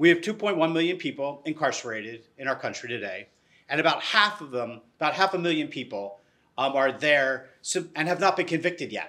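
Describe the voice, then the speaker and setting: A man speaks quickly with lively intonation and a fairly high pitch. His tone is bright and sharp, and the background is quiet. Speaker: nonprofit CEO and panel moderator. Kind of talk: panel discussion. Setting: stage with audience. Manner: enthusiastic. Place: hall. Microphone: lapel.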